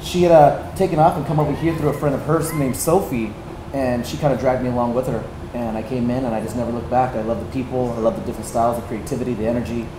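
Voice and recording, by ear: Over clear background noise, a man talks fast at a medium pitch. His intonation stays fairly even.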